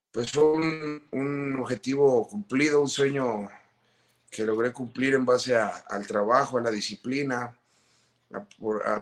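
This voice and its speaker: A man talks at a fairly slow pace in an ordinary speaking voice of medium pitch. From Guadalajara, Mexico (born Mexico City). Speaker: retired footballer. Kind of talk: interview.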